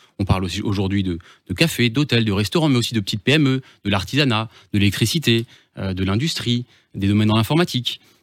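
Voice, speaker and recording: On a very clean recording with a silent background, a man talks very fast at a medium pitch with ordinary pitch variation. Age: 30s. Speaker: business transfer consultant. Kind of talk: radio interview. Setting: radio studio. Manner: hesitant, with repetitions.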